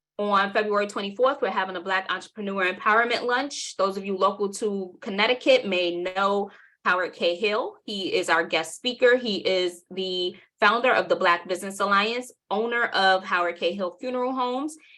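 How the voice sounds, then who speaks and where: A woman with a New York accent speaks at a medium pitch with ordinary pitch variation and a bright, sharp tone. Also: moderate pace. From New York City (Southside Jamaica, Queens). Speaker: workshop presenter and marketing agency owner. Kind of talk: webinar workshop.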